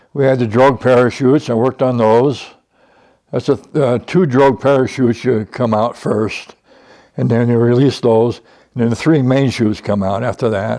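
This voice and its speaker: A man's medium-pitched voice, dark and mellow in tone, with fairly even intonation at a moderate pace. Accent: American. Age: 80s+. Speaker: retired aerospace design engineer. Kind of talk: interview.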